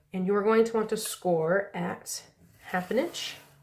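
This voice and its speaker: A woman's fairly high voice shows ordinary pitch variation, with noticeable background noise present. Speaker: papercraft tutorial host. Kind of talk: tutorial. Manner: casual, friendly.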